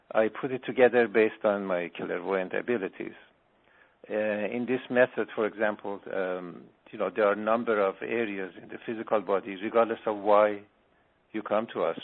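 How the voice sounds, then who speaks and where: This man has a fairly low voice and fairly even intonation. He speaks at a moderate pace, leaving long, frequent pauses. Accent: Iranian. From Iran. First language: Farsi. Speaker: spiritual healer. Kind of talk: radio interview.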